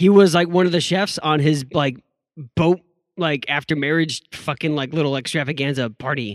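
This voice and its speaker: A man's fairly high voice, an ordinary speaking voice, with ordinary pitch variation at a moderate pace, dry and close with no echo. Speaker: podcast co-host. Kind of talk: casual chat. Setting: remote recording over the internet. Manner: crude joking.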